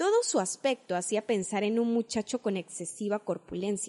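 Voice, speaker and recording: A woman's dark, mellow tone at a medium pitch and a moderate pace. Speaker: audiobook narrator. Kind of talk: audiobook narration, literary reading. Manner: measured, even narration.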